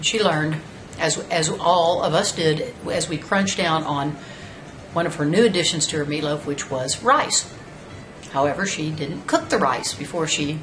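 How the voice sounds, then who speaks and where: A woman with an American accent talks at a moderate pace in a very deep, low pitch. Audible room echo and noticeable background noise surround her. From Texas, Houston. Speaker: storyteller. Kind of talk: personal anecdote monologue. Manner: casual, conversational.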